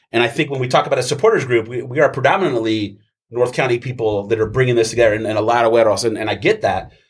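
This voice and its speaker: Speaking very fast, a man uses a somewhat breathy, medium-pitched voice with ordinary pitch variation. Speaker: soccer supporter group member. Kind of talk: casual chat.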